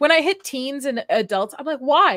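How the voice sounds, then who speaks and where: A woman's high, bright and sharp voice, raised and projected, with very wide pitch swings at a very fast pace. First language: not English. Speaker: livestream host. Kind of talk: casual chat. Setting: livestream.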